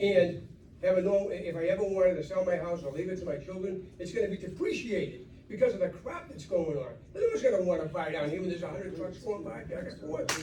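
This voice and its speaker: A high-pitched man talks at a very fast pace with ordinary pitch variation. Noticeable background noise and audible room echo surround him. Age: 70s. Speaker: local resident. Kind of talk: public comment at town meeting. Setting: public meeting.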